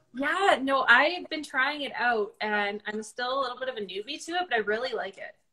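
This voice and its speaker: Against a quiet background, a woman with a raised, projected, high-pitched voice talks at a fairly quick pace, with lively intonation and big swings in loudness. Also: hardly any pauses. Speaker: social media marketing specialist; guest. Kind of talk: casual interview. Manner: stuttering. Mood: friendly, upbeat. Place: home room. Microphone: video call.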